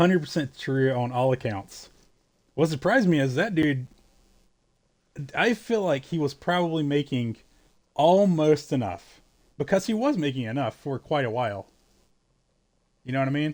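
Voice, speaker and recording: A man's fairly high voice in a Southern US accent, lively in intonation and moderate in pace, with long, frequent pauses, on a very clean recording with a silent background. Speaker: video game streamer. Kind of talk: casual live-stream chat. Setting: live stream. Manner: halting, with stammered restarts.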